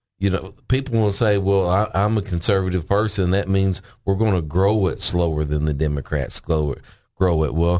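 Against a quiet background, a man with a Southern US accent speaks at a moderate pace in a very deep, low pitch, with ordinary pitch variation and very even loudness. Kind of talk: casual chat. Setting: studio.

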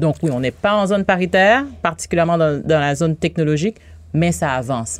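Speaking at a fairly quick pace, a woman uses lively intonation in a very deep, low pitch with vocal fry. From Haiti. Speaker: bank regional director for women entrepreneurs. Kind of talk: radio interview.

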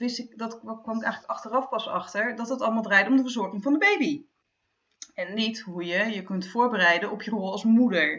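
Using a plain, everyday voice, a woman talks at a moderate pace with fairly high pitch, ordinary pitch variation and big swings in loudness. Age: 40s. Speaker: freelance journalist and author. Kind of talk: casual chat.

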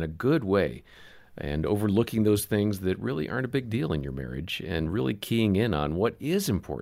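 A man with a normal speaking voice talks at a moderate pace, his fairly low pitch carried by lively intonation. The recording is very clean, with a silent background. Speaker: podcast host. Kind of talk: casual chat.

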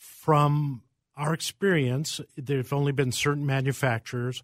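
A man speaks at a moderate pace with fairly even intonation, a plain, everyday voice. The sound is dry and close, with no echo. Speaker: pharmacist. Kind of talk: radio call-in panel answering listener questions. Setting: radio studio.

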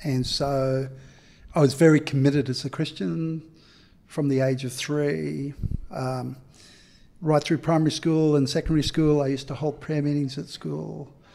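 Recorded very cleanly against a silent background, a man with a dark, mellow tone and a fairly high pitch speaks at a moderate pace with fairly even intonation and long, frequent pauses. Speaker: community activist and author. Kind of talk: casual chat.

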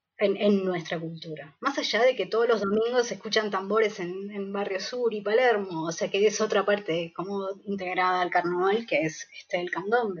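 At a fairly slow pace, a woman with a Uruguayan accent speaks at a medium pitch with ordinary pitch variation. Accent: Uruguayan Spanish (rioplatense). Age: 40s. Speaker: theatre producer. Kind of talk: interview. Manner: halting, with frequent repetitions and fillers.

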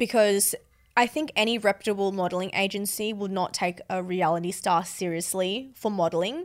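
A woman speaks at a moderate pace with an Australian accent, her pitch medium and its variation ordinary. The recording is very clean, with a silent background. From Sydney, Australia. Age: 20s. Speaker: reality TV contestant. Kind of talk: casual chat. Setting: studio.

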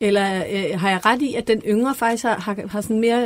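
On a very clean recording with a silent background, a woman with a fairly high pitch uses an ordinary speaking voice, ordinary pitch variation and a moderate pace. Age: 40s. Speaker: podcast host. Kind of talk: studio panel discussion. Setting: studio.

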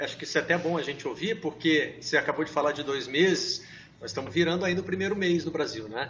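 A man's high-pitched voice rushes along very fast, its pitch varying in an ordinary way. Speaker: sports journalism show host. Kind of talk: casual panel discussion. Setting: video call from home.

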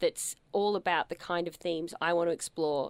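Speaking with an Australian accent, a woman uses a fairly low pitch and ordinary pitch variation at a fairly quick pace, in a dry, close sound with no echo. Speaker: performer and writer. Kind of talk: interview. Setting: radio studio.

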